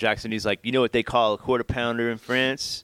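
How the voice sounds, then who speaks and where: A man with a medium pitch speaks in an American accent. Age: 30s. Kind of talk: casual chat. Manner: animated.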